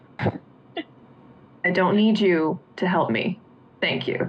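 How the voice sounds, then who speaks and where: A woman uses a put-on character voice at medium pitch. She speaks at a very slow pace. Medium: actual play. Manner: terse, proud.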